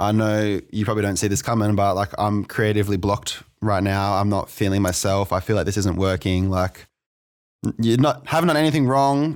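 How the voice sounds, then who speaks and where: A man with an Australian accent talks at a fairly quick pace in a fairly low voice, keeping his loudness very even. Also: very clean recording, silent background. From Australia, New South Wales (Maitland). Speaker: electronic music producer and DJ. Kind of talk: interview, casual chat. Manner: halting, many fillers and repeats.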